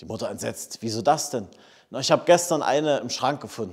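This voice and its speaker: With lively intonation, the speech moves at a moderate pace against a quiet background. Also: man. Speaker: pastor. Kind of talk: scripture reading and sermon. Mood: warm, lightly humorous. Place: church.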